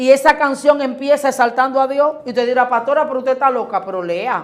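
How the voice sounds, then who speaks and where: Talking at a very fast pace, a woman uses a high pitch, ordinary pitch variation and an animated tone. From Dominican Republic, Boca Chica. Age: 40s. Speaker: pastor. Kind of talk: interview about faith.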